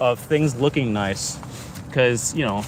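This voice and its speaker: A man speaks fairly slowly, and noticeable noise can be heard behind him. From Canada. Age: 20s. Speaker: live streamer. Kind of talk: casual live stream monologue. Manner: animated.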